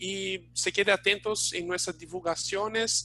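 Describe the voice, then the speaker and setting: Delivered at a moderate pace with an non-native accent, the speech has a bright, sharp tone and monotone, flat intonation. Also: man. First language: Portuguese (speaking Spanish). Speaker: webinar host, training institute staff. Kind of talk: live webinar closing remarks. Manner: halting, many fillers.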